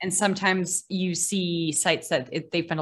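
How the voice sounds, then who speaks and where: A woman with an American accent speaks at a moderate pace. She has a normal speaking voice, fairly low in pitch. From Massachusetts, Boston area. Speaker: maritime archaeologist and scuba diver. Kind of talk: casual interview.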